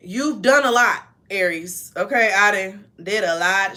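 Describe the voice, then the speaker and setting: This woman's loud voice has a medium pitch and a bright, sharp tone. She speaks at a very slow pace with ordinary pitch variation. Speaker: tarot reader. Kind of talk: tarot reading, casual. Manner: animated.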